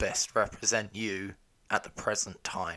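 With a British accent, a man is speaking. He keeps a moderate pace. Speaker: podcast co-host, husband. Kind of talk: casual chat.

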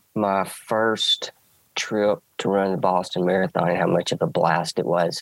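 A man talks at a very slow pace in an Alabama accent. The recording is dry and close with no echo. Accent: Southern US (Alabama). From US South, rural Alabama. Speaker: track and field coach. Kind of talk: casual interview chat.

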